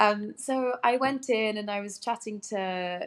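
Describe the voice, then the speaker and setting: A woman speaks with an English accent. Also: very clean recording, silent background. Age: 30s. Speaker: actress. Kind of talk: interview chat.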